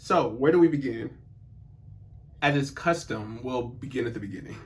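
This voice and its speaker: In a room with audible echo, a man speaks at a moderate pace, somewhat breathy, with ordinary pitch variation. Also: medium pitch for a man. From US South. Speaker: personal development youtuber. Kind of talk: personal monologue. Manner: casual, conversational.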